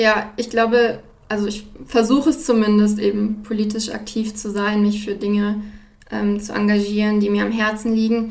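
Her pitch is fairly high, and she speaks at a moderate pace. This woman's intonation stays monotone and flat. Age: 20s. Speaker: student and podcast host. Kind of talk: interview. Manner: halting with frequent fillers.

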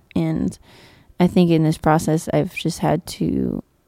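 A woman speaks at a fairly slow pace with an American accent. The sound is dry and close, with no echo. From northern Nevada (Virginia City). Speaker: singer-songwriter. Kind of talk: interview. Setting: stage with audience.

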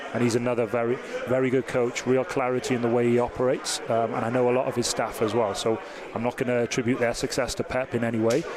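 A man with a Welsh accent talks at a very fast pace and medium pitch, with monotone, flat intonation and very even loudness over noticeable background noise. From Wales. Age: 30s. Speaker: soccer technical advisor. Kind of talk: interview.

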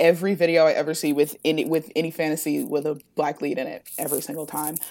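A woman speaks at a fairly quick pace with an American accent. Her pitch is very deep and low, and her intonation stays fairly even. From Ohio, US Midwest. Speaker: book content creator. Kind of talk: podcast interview.

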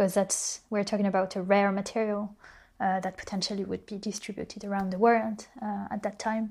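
At a medium pitch and fairly quick pace, a woman speaks in a somewhat breathy voice with monotone, flat intonation. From France. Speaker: designer and visual artist. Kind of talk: interview.

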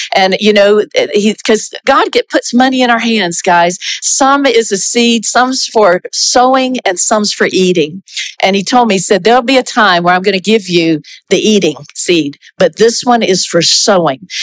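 Very even loudness, lively intonation and a moderate pace. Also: woman, fairly high pitch for a woman. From US South, South Carolina. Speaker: pastor, former missionary. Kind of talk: church testimony and encouragement. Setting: church with congregation.

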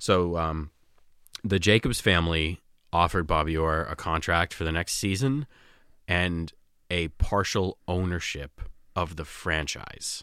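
In a Boston accent, a man with a very deep, low pitch and a bright, sharp tone talks at a fairly slow pace with ordinary pitch variation and long, frequent pauses, on a very clean recording with a silent background. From Malden, Massachusetts. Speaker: sports fan. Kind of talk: casual chat. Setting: studio.

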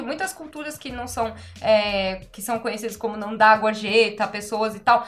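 With hardly any pauses, a woman talks at a fairly high pitch. Noticeable background noise runs underneath. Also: big swings in loudness. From Brazil. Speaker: podcast co-host and restaurant worker. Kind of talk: casual chat.

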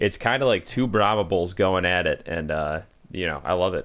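This is a normal speaking voice delivered at a moderate pace. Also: man. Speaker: podcast co-host. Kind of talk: casual comedic chat. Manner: joking, crude humor.

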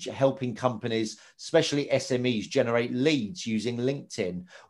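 With an unremarkable speaking voice, a man talks at a fairly quick pace and medium pitch, with ordinary pitch variation. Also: hardly any pauses. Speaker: podcast host. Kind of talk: casual interview chat.

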